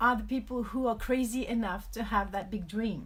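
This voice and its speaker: Speaking at a fairly slow pace, a woman with a French accent has a fairly high pitch. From France (Paris). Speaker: author and life coach. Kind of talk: live video talk. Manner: hesitant, many fillers.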